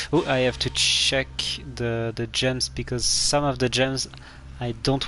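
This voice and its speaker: A man with a French accent at a fairly slow pace, over noticeable background noise. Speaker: video game streamer. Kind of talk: live gameplay commentary. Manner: halting, many fillers.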